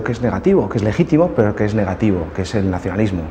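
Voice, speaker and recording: Words come out at a very fast pace. Behind them, background noise is noticeable. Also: man. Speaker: party politician. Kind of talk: interview testimony.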